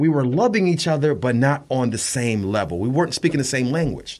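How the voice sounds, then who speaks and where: The man has an ordinary speaking voice at a medium pitch. His intonation is lively. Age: 40s. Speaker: radio show host and guest. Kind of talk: casual interview.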